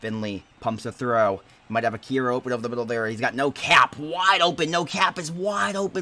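A man talks at a fairly quick pace with lively intonation. His pitch is medium, and his tone is bright and sharp. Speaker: sports commentator. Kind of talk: live play-by-play commentary of a video game football match. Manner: fast, rhythmic play-by-play delivery that builds in excitement on touchdowns; casual and chatty, with laughs and sign-off.

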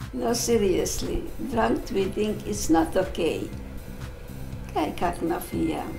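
Clear music plays in the background as a woman talks at a very slow pace with long, frequent pauses. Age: old. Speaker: grandmother reading posts aloud. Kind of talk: reading tweets aloud. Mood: deadpan, slightly bemused. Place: home room.

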